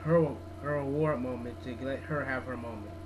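Moderately paced male speech with noticeable background noise. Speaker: video blogger. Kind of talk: angry video rant. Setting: home video blog. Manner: indignant, opinionated; casual, conversational. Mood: opinionated, mildly indignant. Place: home room. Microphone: webcam.

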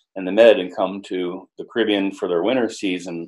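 A man with an American accent speaks in a fairly low pitch. The background is quiet. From Miami, Florida. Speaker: yacht broker, former yacht captain. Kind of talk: interview. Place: home room. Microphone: video call.

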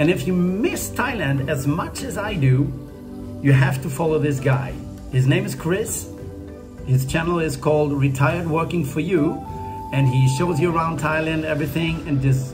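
A man with long, frequent pauses, clear music in the background. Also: ordinary pitch variation, moderate pace. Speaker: travel vlogger. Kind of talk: casual vlog chat. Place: home room. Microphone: phone near.

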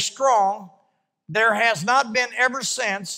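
Against a quiet background, a man with a bright, sharp tone and ordinary pitch variation projects his raised voice at a very slow pace. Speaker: preacher. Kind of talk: sermon. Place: church. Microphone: handheld.

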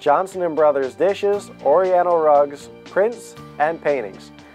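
Over music in the background, a man with a fairly high voice talks at a moderate pace with ordinary pitch variation. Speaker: auctioneer. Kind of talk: auction preview announcement.

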